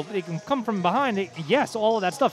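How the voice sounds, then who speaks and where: With music playing behind him, a man with a high voice speaks at a fairly quick pace in an animated tone, his pitch varying in an ordinary way. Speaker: high school sports radio broadcaster. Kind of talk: live sports radio broadcast banter. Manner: conversational, opinionated, animated.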